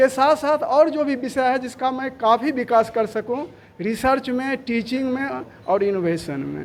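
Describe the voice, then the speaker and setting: The man's voice sits at an extremely high pitch, with ordinary pitch variation. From Bihar, Begusarai. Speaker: college principal, professor. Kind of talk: press interview. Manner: loud.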